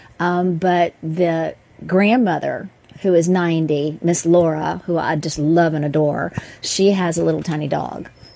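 Talking at a fairly slow pace, a woman with a fairly low pitch and fairly even intonation has an unremarkable speaking voice. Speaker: dog trainer and co-host. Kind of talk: casual chat.

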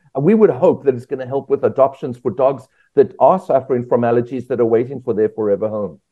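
The speech moves at a very fast pace with lively intonation. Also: man, medium pitch for a man. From South Africa. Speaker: veterinarian. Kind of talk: interview.

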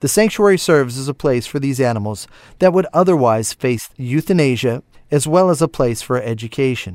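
A man with a medium pitch talks at a fairly quick pace with lively intonation. The recording is very clean, with a silent background and a dry, close sound with no echo. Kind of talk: radio ad read, upbeat infomercial sales pitch. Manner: brisk, polished, salesy; emphatic, urgent call to action.

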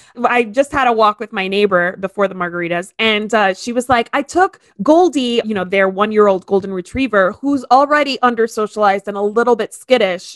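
In a normal speaking voice, a woman talks at a moderate pace with a fairly high pitch and ordinary pitch variation, the sound dry and close with no echo. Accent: American. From Miami, Florida. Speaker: podcast host. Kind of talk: casual chat.

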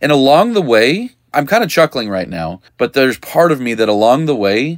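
In a very clean recording with a silent background, a man has an ordinary speaking voice. He speaks at a moderate pace and medium pitch, with lively intonation. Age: 40s. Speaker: podcast host, dog trainer business coach. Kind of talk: solo podcast monologue. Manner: casual, conversational with frequent laughs.

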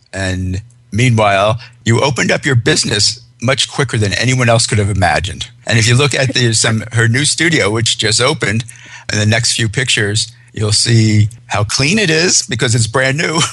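Moderate pacing, ordinary pitch variation and very even loudness, with noticeable background noise behind. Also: man, medium pitch for a man. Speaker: radio host. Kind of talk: interview about pet fashion.

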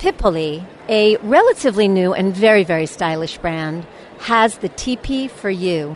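The pitch moves with ordinary variation. Noticeable background noise can be heard throughout. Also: woman. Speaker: radio host. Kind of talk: radio dj patter, upbeat show intro and sponsor break link. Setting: trade show floor, on location interviews. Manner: bright, chatty, polished broadcaster cheer.

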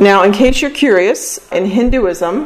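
A woman speaks rather slowly, with background noise clearly audible. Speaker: radio host and presenter. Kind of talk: lecture-style presentation on a podcast.

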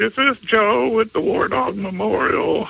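In a put-on character voice, a man speaks at a moderate pace with a high pitch over light background noise. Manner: sweet, gentle.

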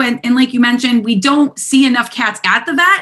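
A woman's high, bright, sharp-toned voice, raised and projected, at a moderate pace. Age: 30s. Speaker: veterinary technician and cat behavior specialist. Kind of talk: interview.

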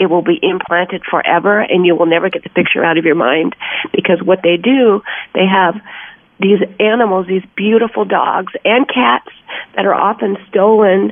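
A woman speaks at a medium pitch with ordinary pitch variation and a moderate pace. Noticeable background noise can be heard. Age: 60s. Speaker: actress and animal welfare advocate. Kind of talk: interview.

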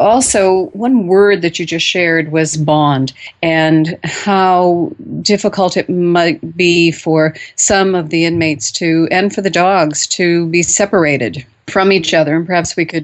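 This woman has a normal speaking voice, pitched fairly low. She talks fairly slowly, and her pitch varies in an ordinary way. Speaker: radio host. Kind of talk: radio host patter, show intro after break. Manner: polished, welcoming, clear and measured.

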